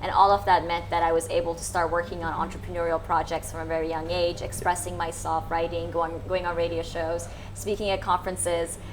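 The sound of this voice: A woman with an American accent talks in a fairly low pitch with little pitch movement and few pauses. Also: fairly quick pace.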